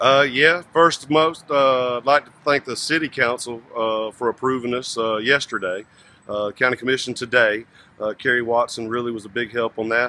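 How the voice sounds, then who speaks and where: A man at a moderate pace with ordinary pitch variation, in a dry sound with no echo. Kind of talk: interview answer. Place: street. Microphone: phone near.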